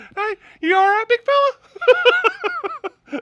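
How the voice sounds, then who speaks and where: A put-on character voice at an extremely high pitch carries a cheerful tone. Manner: cheerful, friendly.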